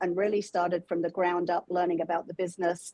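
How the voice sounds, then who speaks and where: A woman with an English accent speaks at medium pitch in a dark, mellow tone. Her intonation is monotone and flat. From England. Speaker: holiday decor business owner. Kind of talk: interview.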